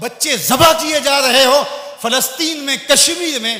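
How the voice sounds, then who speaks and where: A man speaks in a raised, projected voice with a passionate tone and an extremely high pitch. Noticeable background noise runs behind him. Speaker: Islamic preacher. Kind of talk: Islamic sermon / religious lecture. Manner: passionate, emotional, rhetorical.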